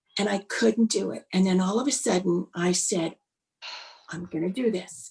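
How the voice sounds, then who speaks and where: A woman speaks at a medium pitch with ordinary variation. Her voice is somewhat breathy. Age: 60s. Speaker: public speaker and corporate trainer. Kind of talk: storytelling in a podcast interview.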